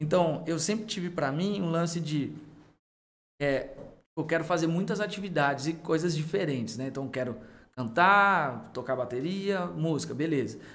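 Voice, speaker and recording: A man talks at a moderate pace, his pitch fairly high with ordinary variation. The room echo is audible. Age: 30s. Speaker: youth pastor. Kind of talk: casual chat.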